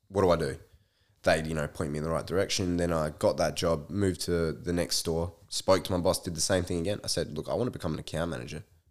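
Very deep and low, a man's voice comes in an Australian accent with fairly even intonation. He speaks very fast on a very clean recording with a silent background. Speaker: podcast guest. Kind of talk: casual chat.

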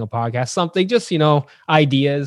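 Speaking at a fairly quick pace in a plain, everyday voice, a man with a Canadian accent keeps a medium pitch and ordinary pitch variation in a very clean recording with a silent background. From Ontario, Canada (Ajax, east of Toronto). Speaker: sociology professor and podcaster. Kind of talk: casual interview.

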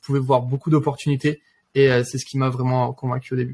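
The delivery is somewhat breathy and fairly quick, with a dry, close sound and no echo. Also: man. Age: 20s. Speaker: engineering student and trader. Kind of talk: interview.

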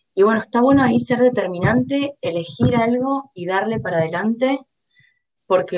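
A woman with an unremarkable speaking voice talks at a moderate pace, using a fairly high pitch and lively intonation. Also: big swings in loudness. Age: 20s. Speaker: designer and e-commerce manager. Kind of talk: interview.

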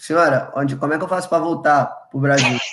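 A man's voice with fairly even intonation. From Brazil, Rio de Janeiro (Ilha do Governador). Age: 20s. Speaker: college football player. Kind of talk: casual chat. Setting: live stream video call.

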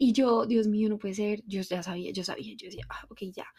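A soft-spoken voice with ordinary pitch variation on a very clean recording against a silent background. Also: woman. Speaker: podcast host and empowerment coach. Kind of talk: solo podcast monologue. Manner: soft and quiet.

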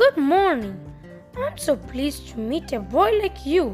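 A hoarse, high-pitched put-on character voice over clear background music. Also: moderate pace.

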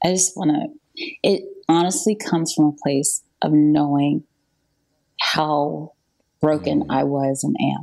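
Here a woman talks with a Southern US accent. Her pace is very slow. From US South, North Carolina. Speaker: songwriter. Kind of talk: testimony.

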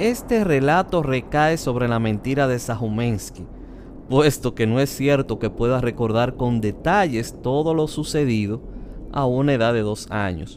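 A man with a normal speaking voice talks at a fairly slow pace, medium in pitch with ordinary pitch variation. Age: 40s. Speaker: podcast host. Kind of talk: personal memoir narration.

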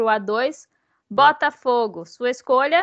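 This woman's voice is high in pitch. It rises and falls with ordinary variation. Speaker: sports podcast host and journalist. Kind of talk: casual chat. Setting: remote recording via computer.

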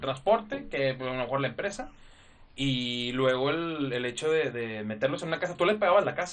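A man's fairly high voice swings very widely in pitch while keeping a moderate pace. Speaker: guest. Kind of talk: casual chat.

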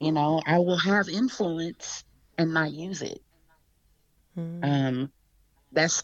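Talking very slowly with an American accent, a woman has a very deep, low pitch and a warm tone. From Texas. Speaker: community healer and activist. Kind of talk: casual chat. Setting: video call. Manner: warm, laughs often.

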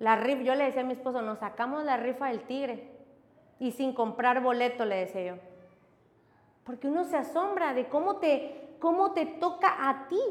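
Speaking at a moderate pace and a high pitch, a woman uses lively intonation amid noticeable background noise and audible room echo. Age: 30s. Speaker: pastor. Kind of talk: sermon.

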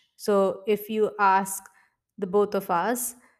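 In an Indian accent, a woman speaks at a medium pitch in a flat monotone. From India, Mumbai. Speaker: podcast host, gynecologist and life coach. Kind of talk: casual solo monologue.

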